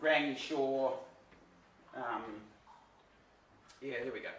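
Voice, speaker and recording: Loud and at a fairly slow pace, a man with a New Zealand accent speaks over noticeable background noise and audible room echo. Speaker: sailor. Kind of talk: presentation.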